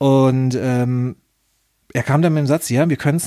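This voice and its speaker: A man speaks at a moderate pace with medium pitch in an unremarkable speaking voice. The recording is very clean, with a silent background. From Germany, Nuremberg. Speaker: podcast host, former pro wrestler. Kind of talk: casual chat.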